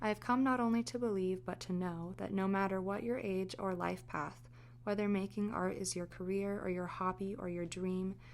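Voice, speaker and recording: A soft-spoken woman talks at a moderate pace, her medium pitch moving with ordinary variation. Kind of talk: ASMR fireside book reading. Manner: soft-spoken, natural.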